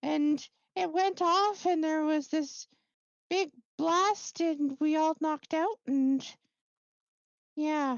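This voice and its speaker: A squeaky, high put-on character voice speaks at a very slow pace. Long, frequent pauses break up the speech. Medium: actual play. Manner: hesitant, stumbling, repetitive.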